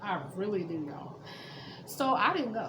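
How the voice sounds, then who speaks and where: With an American accent and ordinary pitch variation, a woman speaks amid audible room echo and noticeable background noise. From Florida (Panama City). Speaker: vlogger. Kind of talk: personal story. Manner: casual.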